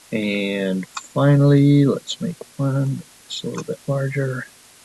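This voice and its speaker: Over noticeable background noise, a man speaks at a very slow pace and a medium pitch with ordinary pitch variation, the sound dry and close with no echo. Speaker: math teacher. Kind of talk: tutorial. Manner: mumbling to himself at times.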